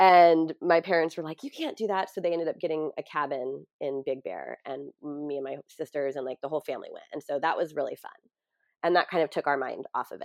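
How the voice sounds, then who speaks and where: Speech comes at a fairly quick pace in a Californian accent, with big swings in loudness. The sound is dry and close with no echo over a quiet background. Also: woman. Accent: Californian American. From US West Coast (San Diego). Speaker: grief coach and yoga teacher. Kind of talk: interview.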